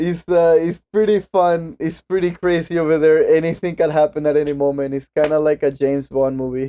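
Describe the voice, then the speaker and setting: A Venezuelan accent carries a dark, mellow tone with fairly even intonation. The pace is fairly quick with hardly any pauses, and the sound is dry and close with no echo. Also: man, fairly high pitch for a man. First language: Spanish. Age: 20s. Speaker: podcast guest. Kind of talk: casual chat.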